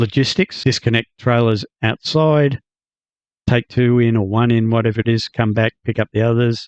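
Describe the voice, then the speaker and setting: A man with an Australian accent at a medium pitch and moderate pace, with fairly even intonation in a dry, close sound with no echo. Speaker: gaming YouTuber. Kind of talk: tutorial. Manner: casual, hesitant with fillers.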